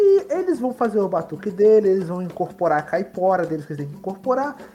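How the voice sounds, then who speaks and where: A man speaks fairly quickly, with background noise clearly noticeable. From Baixada Fluminense, Rio de Janeiro (Belford Roxo). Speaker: tabletop RPG player, RPG channel host. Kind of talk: tabletop RPG session, casual roleplay.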